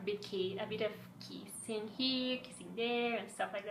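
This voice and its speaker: A woman with a Spanish accent at a medium pitch, with audible room echo. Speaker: fan vlogger. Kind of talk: casual fan commentary. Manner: halting, some stumbles.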